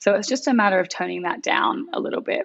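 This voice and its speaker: A woman's Australian accent with vocal fry and lively intonation. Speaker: graphic designer. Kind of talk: design critique.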